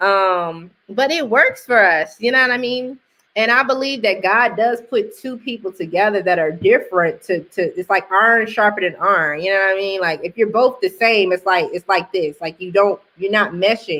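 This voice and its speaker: A woman speaks loudly at a medium pitch and moderate pace, with hardly any pauses. Her tone is animated, with ordinary pitch variation. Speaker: married woman sharing testimony. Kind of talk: casual testimony chat.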